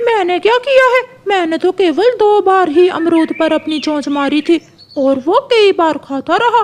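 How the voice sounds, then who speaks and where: Pitched extremely high, a cartoonish character voice talks at a moderate pace. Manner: defensive, quick to anger.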